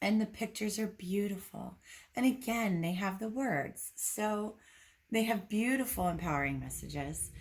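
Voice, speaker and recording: A woman with a medium pitch and a somewhat breathy voice speaks at a moderate pace with ordinary pitch variation. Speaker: intuitive medium and reiki healer. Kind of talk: casual card deck review to camera.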